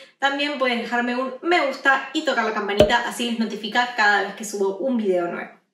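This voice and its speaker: A woman talks at a fairly quick pace against noticeable background noise. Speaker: fitness vlogger. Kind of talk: casual vlog chat. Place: home room.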